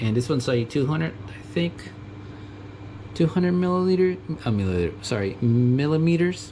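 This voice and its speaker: A man with a Mexican accent, medium in pitch, at a moderate pace with long, frequent pauses and very wide pitch swings. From US, Mexican family. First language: Spanish. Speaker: tool enthusiast youtuber. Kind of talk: casual tool show-and-tell. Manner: halting, many fillers.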